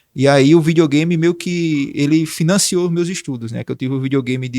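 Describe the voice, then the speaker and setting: A man talks at a moderate pace in a fairly high pitch, using fairly even intonation. The sound is dry and close with no echo, and it is a normal speaking voice. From Brazil, Santana do Ipanema, Alagoas (Northeast). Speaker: digital marketing consultant and speaker. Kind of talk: podcast interview, life story. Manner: casual, conversational.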